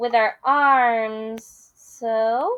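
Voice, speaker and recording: A woman uses a put-on character voice at a fairly high pitch. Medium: read story.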